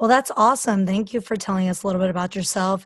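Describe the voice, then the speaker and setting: Speaking at a very fast pace, a woman uses a medium pitch and fairly even intonation, and her voice is somewhat breathy. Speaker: podcast host and fitness coach. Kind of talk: casual interview.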